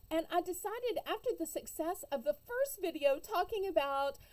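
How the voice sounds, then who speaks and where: In a Southern US accent, a woman with a dark, mellow tone speaks at a moderate pace, her pitch swinging very widely. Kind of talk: casual storytelling to camera. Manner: humorous, chatty.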